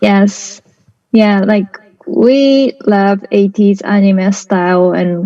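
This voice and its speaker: A woman's very slow, medium-pitched voice with fairly even intonation and a Japanese accent. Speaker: artist. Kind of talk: interview. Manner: halting.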